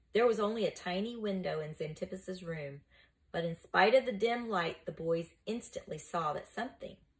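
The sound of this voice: An unforced reading voice carries the clip.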